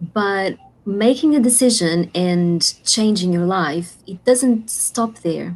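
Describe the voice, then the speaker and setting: Speaking very slowly with a non-native accent, a woman uses lively intonation at a medium pitch. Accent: foreign. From Portugal. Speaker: life coach and author. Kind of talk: interview. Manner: halting.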